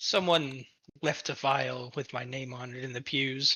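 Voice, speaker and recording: Using a put-on character voice, a man speaks raspy at a moderate pace and medium pitch. His intonation is fairly even, with big swings in loudness. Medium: actual play. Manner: defensive, stubborn.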